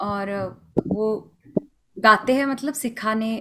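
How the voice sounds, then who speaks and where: With light background noise behind her, a woman speaks fairly slowly in a fairly high pitch. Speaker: Hindustani classical vocalist; guest. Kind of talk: interview. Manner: halting, many fillers. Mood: warm, reflective. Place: home room.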